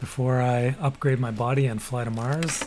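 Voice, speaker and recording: In a Canadian accent, a man speaks at medium pitch and a fairly slow pace with fairly even intonation, noticeable background noise behind him. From Canada. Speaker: gaming streamer. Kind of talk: casual live-stream chat. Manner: mumbling at times.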